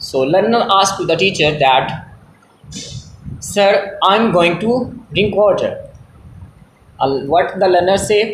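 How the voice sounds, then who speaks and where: A man with a Pakistani accent and a high pitch speaks at a very slow pace with long, frequent pauses, in audible room echo. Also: ordinary pitch variation, very even loudness. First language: Punjabi. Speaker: English teacher. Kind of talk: tutorial. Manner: halting.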